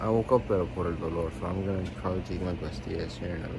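A man's fairly quick speech competes with loud background noise. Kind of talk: casual vlog chat. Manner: drowsy, thick-lipped speech in pain. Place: home room. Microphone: phone near.

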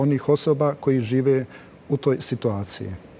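At a fairly high pitch, a man talks with ordinary pitch variation. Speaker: TV talk show host. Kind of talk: TV panel discussion moderation. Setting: TV studio. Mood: calm, measured. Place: studio. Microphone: lapel.

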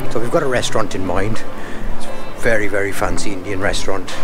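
A man talks at a moderate pace while clear music plays behind him. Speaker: travel vlogger. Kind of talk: casual vlog chat. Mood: relaxed, cheerful. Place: street. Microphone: phone near.

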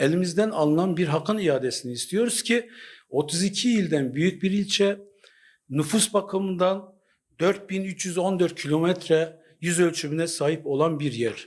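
A man speaks fairly slowly in a high voice with ordinary pitch variation. His loudness stays very even against a quiet background. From Turkey. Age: 50s. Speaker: local association chairman. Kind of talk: street interview statement. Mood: earnest, mildly aggrieved. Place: office.

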